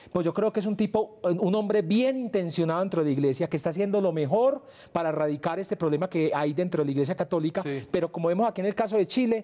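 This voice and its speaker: A man with a high pitch and a dark, mellow tone talks at a very fast pace with hardly any pauses. His loudness stays very even against a quiet background. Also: ordinary pitch variation. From Colombia, Medellín (Antioquia); Antioquia, Colombia. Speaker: investigative journalist. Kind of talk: televised debate. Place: studio. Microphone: lapel.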